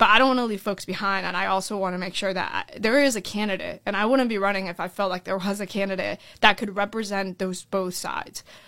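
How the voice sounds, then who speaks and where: A woman with a Florida accent, bright and sharp in tone, medium in pitch, at a very fast pace with fairly even intonation, on a very clean recording with a silent background. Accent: American, Florida. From Orlando, Florida (born in Colombia). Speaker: school board candidate. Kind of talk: interview. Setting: studio.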